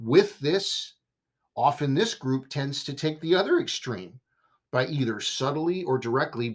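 A man with a West Coast US accent speaks at a fairly slow pace. His fairly high voice makes very wide pitch swings. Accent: General American, West Coast. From Southern California. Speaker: podcast host. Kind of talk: solo monologue commentary.

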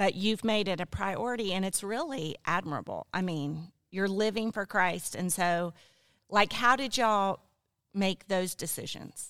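At a fairly slow pace, a woman with a plain, everyday voice speaks at a medium pitch with ordinary pitch variation in a very clean recording with a silent background. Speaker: pastor's wife and guest. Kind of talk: casual chat.

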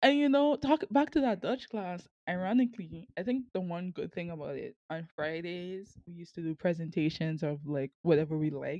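A woman with a strong Sint Maarten accent and a dark, mellow tone speaks at a moderate pace with very wide pitch swings and hardly any pauses. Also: fairly low pitch for a woman, big swings in loudness. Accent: strong Sint Maarten Caribbean. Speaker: university student and podcaster. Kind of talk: casual conversational interview.

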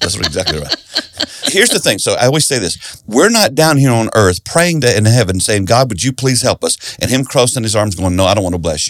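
Speaking in a Southern US accent, a man of medium pitch talks at a fairly quick pace with very wide pitch swings. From South Carolina. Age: 60s. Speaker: pastor and author. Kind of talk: interview.

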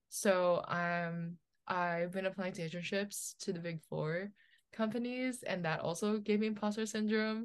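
Speaking in an ordinary speaking voice, a woman with an American accent keeps a fairly slow pace. Her intonation stays fairly even. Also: medium pitch for a woman. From New Jersey. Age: 20s. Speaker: model and college student. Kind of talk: casual chat.

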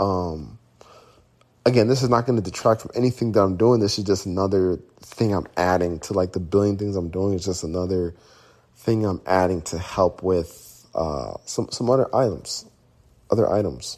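At a moderate pace, a man talks in a plain, everyday voice, fairly low in pitch with ordinary variation. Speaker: podcast host and business owner. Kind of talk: casual solo monologue.

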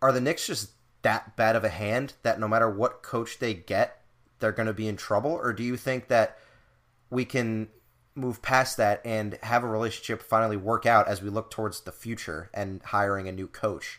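A man talks at a moderate pace with a medium pitch in a normal speaking voice. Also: ordinary pitch variation. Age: 20s. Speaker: sports podcast host. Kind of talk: casual chat.

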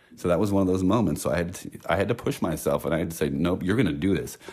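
Very deep and low in pitch, this man's voice carries vocal fry. He speaks at a very fast pace. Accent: American. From San Francisco, US West Coast. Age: 40s. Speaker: guest. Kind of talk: casual chat. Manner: nervous.

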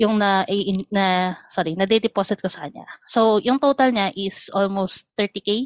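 A woman's normal speaking voice at a medium pitch and moderate pace, with ordinary pitch variation, dry and close with no echo over a quiet background. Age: 30s. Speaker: caller. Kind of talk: casual chat.

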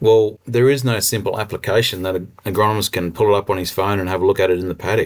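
A man with an Australian accent talks at a very fast pace and a fairly low pitch in a very clean recording with a silent background. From central Queensland, Australia. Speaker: agtech company co-founder and rural consultant. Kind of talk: interview. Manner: animated.

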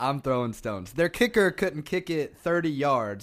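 On a very clean recording with a silent background, a man with an ordinary speaking voice talks at a moderate pace in a fairly high pitch with lively intonation. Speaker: co-host, Tennessee fan. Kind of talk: casual sports banter.

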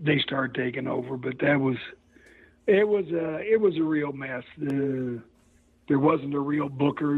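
The speaker has a Midwestern US accent. The pace is moderate. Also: man. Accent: US Midwest. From Missouri, St. Joseph. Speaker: retired pro wrestler. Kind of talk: interview.

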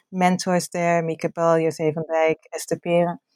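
A woman speaks at a moderate pace in a Dutch accent, her pitch fairly low. The recording is very clean and silent behind her, with a dry, close sound and no echo. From Netherlands. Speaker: academic author. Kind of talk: interview.

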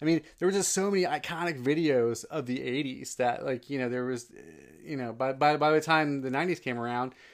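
In a very clean recording with a silent background, a man with an American accent uses a normal speaking voice, fairly high in pitch, with ordinary pitch variation at a moderate pace. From New Jersey. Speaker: podcast co-host. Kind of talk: casual chat.

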